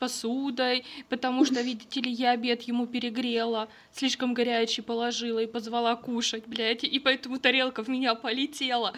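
Her pitch is high and her intonation fairly even as this woman talks at a fairly quick pace. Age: 20s. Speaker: podcast co-host. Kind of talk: casual chat.

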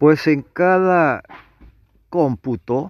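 Ordinary pitch variation runs through this very slow delivery. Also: man. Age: 70s. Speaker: tarot reader and astrology presenter. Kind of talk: monologue reading aloud an astrology text. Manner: halting, with fillers and self-corrections.

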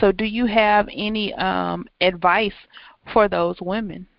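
A woman at a medium pitch and a fairly slow pace. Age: 40s. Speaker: podcast host and writing coach. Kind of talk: interview. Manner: halting, frequent um fillers.

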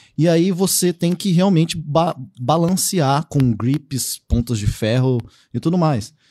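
Dark and mellow in tone, a man's fairly high voice moves at a very slow pace with lively intonation and very even loudness. The sound is dry and close with no echo, on a very clean recording with a silent background. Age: 30s. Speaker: pen spinning enthusiast and agronomist. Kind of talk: casual chat. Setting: studio.

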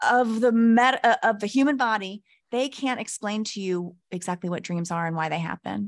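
A woman with an American accent speaks at a moderate pace in an ordinary speaking voice, with fairly high pitch and ordinary pitch variation. The sound is dry and close with no echo, over a quiet background. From Texas. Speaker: podcast guest, spiritual content creator. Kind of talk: casual chat.

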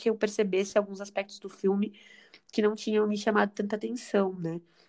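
With an unremarkable speaking voice, a woman talks in a medium pitch at a moderate pace, her intonation fairly even. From Brazil, São Paulo area (São Bernardo do Campo). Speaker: podcast co-host. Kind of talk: casual chat.

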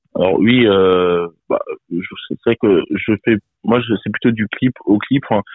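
Speaking at a very slow pace, a man with a fairly low pitch keeps his intonation fairly even. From France, Bourges (Cher). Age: 20s. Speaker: rapper and singer-songwriter. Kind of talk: interview. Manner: halting.

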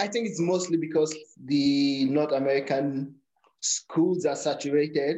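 Fairly slow speech from a man, fairly high in pitch, with very even loudness. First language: a Nigerian native language. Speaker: powerlifter. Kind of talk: casual interview.

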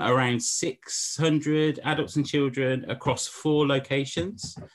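Someone with an English accent speaks at a very slow pace. The background is quiet. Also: man. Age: 40s. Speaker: pastor and church planter. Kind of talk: casual interview chat.

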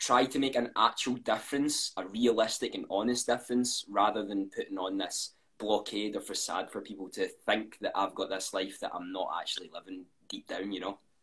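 In a Scottish accent, a man speaks at a fairly quick pace. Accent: Scottish, often commented on. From Scotland. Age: 20s. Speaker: content creator. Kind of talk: casual interview. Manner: fast.

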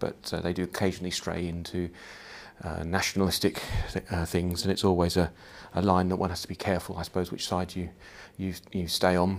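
A man speaks fairly quickly in a very deep, low pitch, his intonation monotone and flat. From Edinburgh, Scotland, then Australia. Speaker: podcaster. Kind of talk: casual personal monologue. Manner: hesitant, many fillers.

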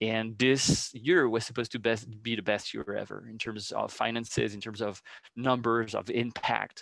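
With a French accent, a man speaks at a moderate pace and medium pitch, with vocal fry. His intonation is fairly even, and the background is quiet. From France. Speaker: educational program director. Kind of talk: interview. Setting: video call.

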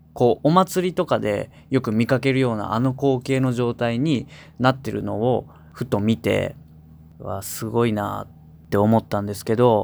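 A man at medium pitch with ordinary pitch variation, at a moderate pace, on a very clean recording with a silent background. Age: 20s. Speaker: singer-songwriter, radio host. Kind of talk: radio talk show.

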